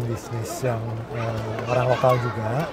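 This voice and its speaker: A man speaking very slowly, with audible room echo and music in the background. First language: Sundanese (speaking Indonesian). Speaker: restaurant owner. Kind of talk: interview. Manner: hesitant with many fillers.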